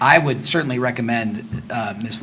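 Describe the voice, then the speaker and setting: Audible room echo and noticeable background noise are both present in this recording. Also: man. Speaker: mayor chairing city council. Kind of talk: council meeting. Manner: fast.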